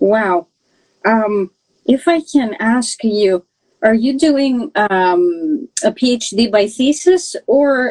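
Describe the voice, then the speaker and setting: A woman with a fairly high pitch talks at a very slow pace with lively intonation in a dry, close sound with no echo. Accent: Greek. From Greece. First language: Greek. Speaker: podcast host, PhD researcher. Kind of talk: casual interview. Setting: live stream. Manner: animated.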